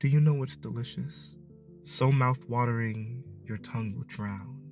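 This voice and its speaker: With music behind him, a man talks at a fairly slow pace. His voice sits at a medium pitch and has an intense tone. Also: lively intonation. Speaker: spoken word poet. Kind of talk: spoken word poetry performance. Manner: intense, impassioned.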